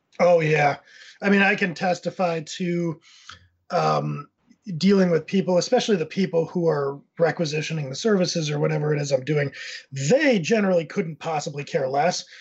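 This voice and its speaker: A man with an American accent talks at a moderate pace in a high pitch, with ordinary pitch variation. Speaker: content agency owner. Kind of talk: casual panel discussion.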